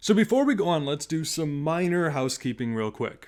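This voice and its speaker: A fairly high-pitched man's voice with lively intonation at a moderate pace, on a very clean recording with a silent background. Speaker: history podcast host. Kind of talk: podcast monologue. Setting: home recording in a closet. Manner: quiet.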